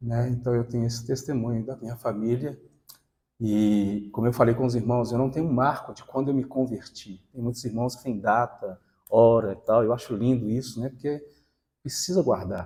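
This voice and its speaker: With a dark, mellow tone and a somewhat breathy quality, this man speaks at medium pitch and a moderate pace, his intonation fairly even while his loudness swings widely. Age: 60s. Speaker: lay preacher. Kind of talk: sermon with personal testimony. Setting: church gathering with congregation.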